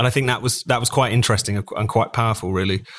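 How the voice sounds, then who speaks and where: A man is speaking. He has a British accent. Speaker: magazine editor. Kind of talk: panel discussion. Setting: remote call.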